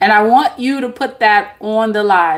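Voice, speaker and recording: The speaker is a woman. Her pitch is medium. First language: not English. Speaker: tarot reader and spiritual live-stream host. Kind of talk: live-stream talk to viewers. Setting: live stream. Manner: casual, filler-heavy.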